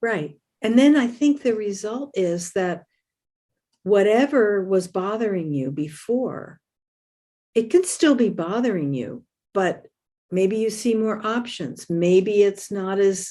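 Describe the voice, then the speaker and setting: Over a quiet background, a woman speaks very slowly with long, frequent pauses, her tone dark and mellow and her intonation lively. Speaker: podcast host. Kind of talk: casual chat.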